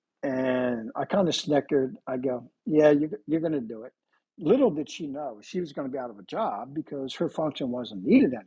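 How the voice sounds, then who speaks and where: This is a man with an ordinary speaking voice and an American accent, pitched fairly high. He speaks at a moderate pace with big swings in loudness. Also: lively intonation. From central New Jersey. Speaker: company founder, former detective. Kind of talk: interview.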